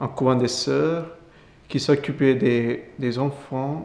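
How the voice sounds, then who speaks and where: A man with an Indian accent, fairly even intonation and a very slow pace. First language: Indian language (speaking French). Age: 20s. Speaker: Capuchin friar. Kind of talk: testimony interview. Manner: halting.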